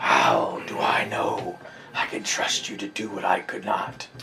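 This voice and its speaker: In a put-on character voice, a man sounds raspy and croaky at a fairly slow pace, with clear background noise behind him. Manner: menacing, dramatic.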